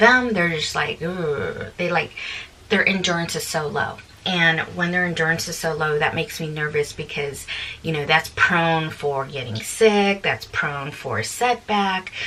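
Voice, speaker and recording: A soft-spoken woman at a fairly low pitch, lively intonation and a moderate pace, amid noticeable background noise. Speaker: vlogger and family caregiver. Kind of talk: casual chat. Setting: home laundry room.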